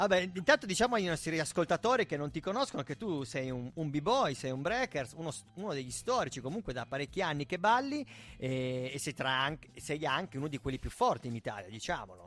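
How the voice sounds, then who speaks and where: An animated man with a fairly high pitch and very wide pitch swings. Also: fairly quick pace. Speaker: radio host. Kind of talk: casual chat. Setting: studio.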